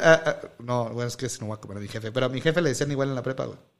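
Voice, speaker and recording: A man speaks with very wide pitch swings. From Mexico, Silao, Guanajuato. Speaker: podcast host and teacher. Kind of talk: casual chat.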